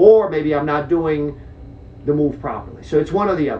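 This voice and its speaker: A man with a fairly high pitch at a fairly quick pace, amid noticeable background noise. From Czech Republic. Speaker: jiu-jitsu instructor. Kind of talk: podcast interview.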